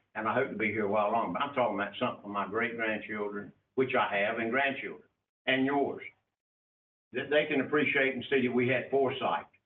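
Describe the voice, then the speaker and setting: Speaking very fast, a man with a North Carolina accent holds a medium pitch. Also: ordinary pitch variation. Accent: southern US (North Carolina). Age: 70s. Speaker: county commissioner. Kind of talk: public meeting debate. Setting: county commission meeting.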